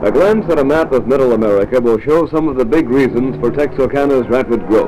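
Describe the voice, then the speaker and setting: A man's medium-pitched voice at a fairly quick pace, with lively intonation, very even loudness and music in the background. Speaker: newsreel narrator. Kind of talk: mid-1950s promotional newsreel narration. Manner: authoritative, formal.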